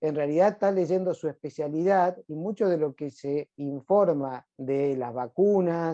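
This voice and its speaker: With a dark, mellow tone and fairly high pitch, a man speaks at a fairly slow pace with ordinary pitch variation, recorded dry and close with no echo. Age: 60s. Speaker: hematologist doctor. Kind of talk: interview. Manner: hesitant fillers.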